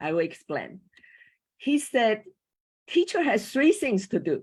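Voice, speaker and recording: A woman speaks in a Chinese accent. The recording is very clean and the background silent. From Taiwan. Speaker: former school teacher, panel speaker on coaching. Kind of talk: panel talk. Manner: halting, with hesitations.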